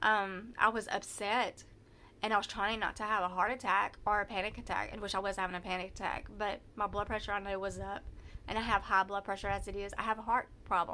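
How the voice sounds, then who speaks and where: The voice has a bright, sharp tone in a Southern US accent. It moves at a fairly quick pace with monotone, flat intonation. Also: woman, medium pitch for a woman. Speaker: vlogger telling personal story. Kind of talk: personal testimony. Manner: halting, many false starts; loud when anxious.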